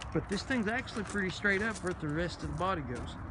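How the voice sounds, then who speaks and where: With a Kentucky accent, a man talks at a high pitch and a fairly quick pace with ordinary pitch variation. Noticeable background noise and audible room echo fill the recording. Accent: southern US (Kentucky). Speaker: used car dealer. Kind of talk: walkaround sales tour. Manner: fast; casual.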